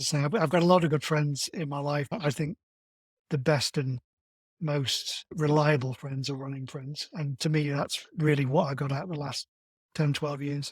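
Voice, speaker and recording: Somewhat breathy speech at a moderate pace keeps a fairly even intonation, with a dry, close sound and no echo. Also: man, fairly high pitch for a man. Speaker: marathon runner. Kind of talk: interview.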